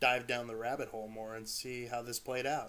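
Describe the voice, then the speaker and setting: A man speaks quietly at medium pitch with a bright, sharp tone. His pace is fairly quick. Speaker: amateur creepypasta narrator. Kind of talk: horror story narration. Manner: quiet, a bit stuttering.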